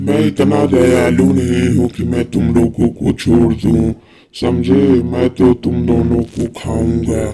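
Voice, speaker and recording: A man's cartoonish character voice, very deep and low, at a fairly slow pace. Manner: menacing, cackling laughter.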